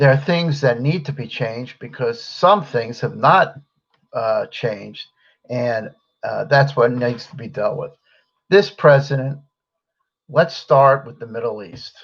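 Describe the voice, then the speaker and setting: With an American accent, a man speaks fairly slowly at a fairly high pitch, leaving long, frequent pauses. His voice is somewhat breathy, and his pitch varies in an ordinary way. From United States. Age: 60s. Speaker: political commentary host. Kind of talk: solo political commentary. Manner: halting, with many fillers.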